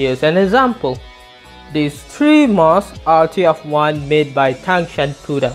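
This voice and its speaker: Music plays in the background as someone speaks at a fairly slow pace with a Malay accent. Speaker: gas mask collector. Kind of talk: educational narration.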